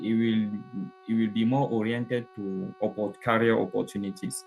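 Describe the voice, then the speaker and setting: A man with a French accent, medium pitch, fairly slow pace, and music in the background. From Cameroon. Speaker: participant asking questions. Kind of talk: Q&A in live online session. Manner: halting, many fillers.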